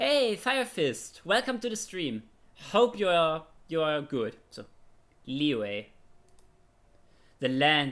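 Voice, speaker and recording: Speaking at a fairly slow pace, a man with a German accent uses lively intonation. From Germany. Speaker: streamer. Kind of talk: casual chat; reading aloud. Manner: halting.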